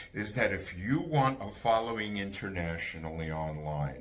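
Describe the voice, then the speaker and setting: A man speaks at a fairly slow pace with very wide pitch swings. Room echo is audible. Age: 70s. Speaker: bassist and music educator. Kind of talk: casual monologue on music careers. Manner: emphatic; halting with fillers.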